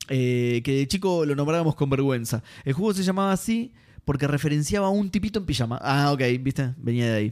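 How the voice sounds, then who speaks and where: At a fairly quick pace, a man with a Rioplatense accent speaks in a fairly high pitch, his loudness very even throughout. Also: lively intonation. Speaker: gaming podcast host. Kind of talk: casual chat.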